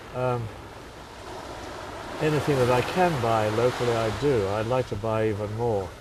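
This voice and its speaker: Speaking at a moderate pace with long, frequent pauses, a man uses a medium pitch and ordinary pitch variation amid noticeable background noise and audible room echo. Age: 80s+. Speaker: hotelier. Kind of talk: interview.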